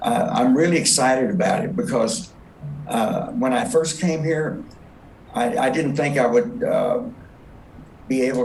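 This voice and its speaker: A man speaks at a fairly slow pace with very wide pitch swings. Noticeable background noise and audible room echo fill the recording. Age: 70s. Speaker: patient. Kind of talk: testimony. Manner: halting, many fillers.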